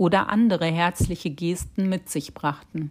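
A woman with a French accent, fairly low in pitch and fairly even in intonation, at a fairly slow pace in a very clean recording with a silent background. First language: French (speaking German). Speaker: podcast host. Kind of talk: scripted narration.

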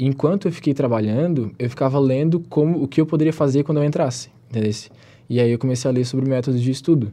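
Talking very fast, a man uses a medium-pitched voice with a dark, mellow tone and ordinary pitch variation. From southern Santa Catarina, Brazil. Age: 20s. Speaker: pre-university student. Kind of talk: interview. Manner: casual, filler-heavy.

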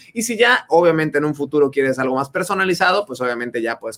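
Energetic and very fast, a man talks with a Mexican accent, his pitch fairly high and swinging very widely. The sound is dry and close, with no echo. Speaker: podcast host and business coach. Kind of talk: casual chat. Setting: Facebook live video stream.

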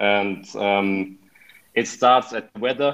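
A man with a German accent speaks with ordinary pitch variation against a quiet background. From Germany, Hannover. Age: 20s. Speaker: exchange student. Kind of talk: interview. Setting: video call.

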